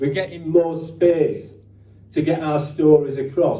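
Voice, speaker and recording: With a Yorkshire accent, a man speaks at a fairly high pitch, somewhat breathy, with audible room echo. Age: 60s. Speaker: ex-miner and activist speaker. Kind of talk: speech at a rally or meeting. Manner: halting, repetitive false starts.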